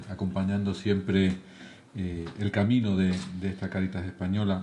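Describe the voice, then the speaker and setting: A man speaks in a southern Spanish accent at a moderate pace. Room echo is audible in the recording. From southern Spain. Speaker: charity leader, lecturer. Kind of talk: lecture. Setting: lecture hall with audience.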